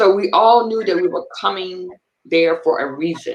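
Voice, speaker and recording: A woman uses an ordinary speaking voice at medium pitch, talking at a moderate speed with lively intonation. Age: 60s. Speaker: interviewer, retired military member and minister. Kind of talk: casual interview conversation.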